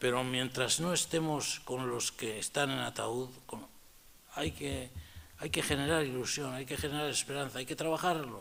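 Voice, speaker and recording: Here a man speaks with a bright, sharp tone and ordinary pitch variation. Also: medium pitch for a man. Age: 70s. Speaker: Capuchin friar and retired theology professor. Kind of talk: public talk. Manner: animated.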